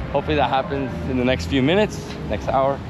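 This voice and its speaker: Noticeable background noise sits behind a man's voice, recorded with a dry sound and no echo. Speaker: travel vlogger. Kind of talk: casual vlog chat. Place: street. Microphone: lapel.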